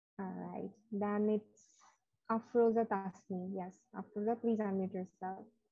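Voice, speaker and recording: A woman speaks at a medium pitch in a monotone, flat delivery, with faint music in the background. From Bangladesh. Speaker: English teacher. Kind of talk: online class. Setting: video call. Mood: warm, encouraging. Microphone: too quiet on phone; video call.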